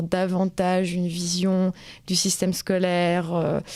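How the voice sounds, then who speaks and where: Her voice has a dark, mellow tone. This woman's pitch is medium and her intonation fairly even. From rural France. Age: 20s. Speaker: interviewee. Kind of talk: interview testimony. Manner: halting, many hesitations.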